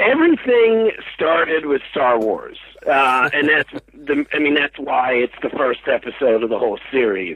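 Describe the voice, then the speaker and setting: A man's voice holds very even loudness over noticeable background noise. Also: moderate pace. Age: 40s. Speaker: TV documentary creator and director. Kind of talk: interview. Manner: hesitant, many filler words.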